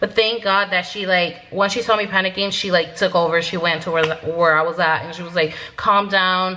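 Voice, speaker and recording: A woman's medium-pitched voice, monotone and flat, with hardly any pauses, over noticeable background noise. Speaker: vlogger. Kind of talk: casual storytelling to camera. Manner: fast.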